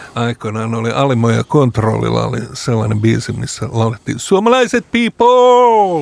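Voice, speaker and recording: A man's pitch swings very widely as he talks at a moderate pace against noticeable background noise. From Lapland, Finland. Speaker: radio host. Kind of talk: casual interview. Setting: studio.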